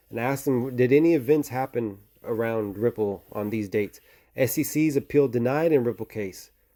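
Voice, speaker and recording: A man speaks with a dark, mellow tone at a fairly quick pace. His pitch varies in an ordinary way, on a very clean recording with a silent background. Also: medium pitch for a man. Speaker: crypto video creator. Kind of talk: casual monologue. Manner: fast.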